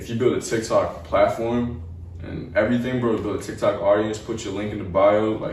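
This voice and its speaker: There is audible room echo as a man talks with a New York accent. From New York City, Staten Island. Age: young. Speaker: rapper. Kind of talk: casual interview. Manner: casual, filler-heavy.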